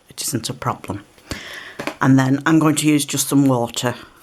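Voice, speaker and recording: The voice has a relaxed tone and a British accent. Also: woman. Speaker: card-making crafter. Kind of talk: craft tutorial. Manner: relaxed, slightly halting.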